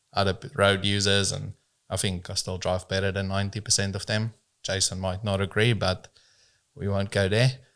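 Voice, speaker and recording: A man with a South African accent, fairly low-pitched, at a moderate pace and with fairly even intonation, on a very clean recording with a silent background. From South Africa, rural farm upbringing. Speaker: business owner in transport. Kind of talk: casual podcast interview.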